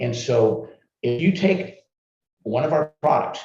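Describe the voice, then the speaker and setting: Somewhat breathy, a man's dark, mellow tone moves through very wide pitch swings. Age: 60s. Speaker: herbal supplement formulator. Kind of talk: live Q&A interview.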